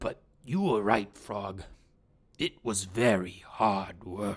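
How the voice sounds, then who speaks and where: A man uses a raspy, put-on character voice with a fairly low pitch. He speaks at a very slow pace. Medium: read story. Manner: earnest, excitable.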